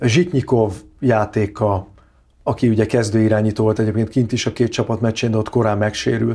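A man speaks at a fairly slow pace with a fairly low pitch, a dark, mellow tone and fairly even intonation over a quiet background. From Hungary. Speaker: handball pundit. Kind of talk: casual chat. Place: studio. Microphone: lapel.

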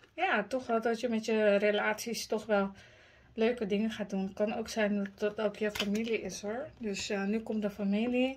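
A woman's monotone, flat delivery at a moderate pace. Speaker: tarot reader. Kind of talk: tarot reading commentary. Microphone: phone near.

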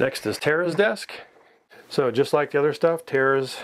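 Light background noise sits behind a man speaking with lively intonation. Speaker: vlogger. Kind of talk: tutorial. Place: home room.

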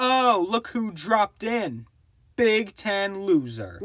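A man's cartoonish character voice, high-pitched, with lively intonation, at a very slow pace, in a dry, close sound with no echo. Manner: whiny, sarcastic, scheming.

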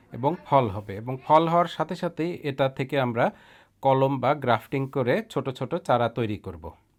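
With a normal speaking voice and lively intonation, a man speaks at a medium pitch. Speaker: gardening YouTuber. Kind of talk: video narration.

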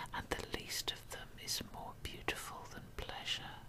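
Whispered speech from a woman. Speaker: poetry reader. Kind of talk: ASMR poetry reading. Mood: calm, intimate. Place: home room. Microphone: studio mic.

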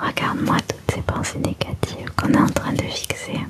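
A woman whispers in a soft-spoken way at a fairly slow pace, with loud background noise behind her. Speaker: ASMR creator. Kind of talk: soft ASMR guided talk. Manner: soft close-mic ASMR whisper. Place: home room. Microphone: studio mic.

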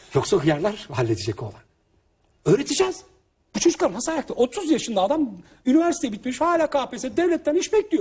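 This man's extremely high voice moves at a fairly quick pace with very wide pitch swings. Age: 30s. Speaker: author and family seminar speaker. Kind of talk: interview talk. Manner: animated.

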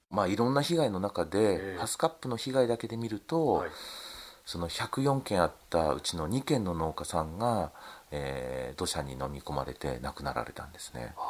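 At a moderate pace, a man with a very deep, low voice talks with very wide pitch swings and big swings in loudness. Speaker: fruit farmer. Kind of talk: recorded interview.

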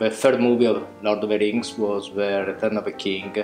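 A man with an Italian accent at a moderate pace, faint music in the background and audible room echo. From Italy. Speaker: visual effects department head. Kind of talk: interview answer. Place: home room.

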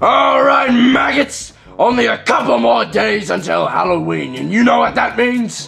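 Speaking at a moderate pace, a man puts on a character voice while faint music plays in the background. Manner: barking, commanding.

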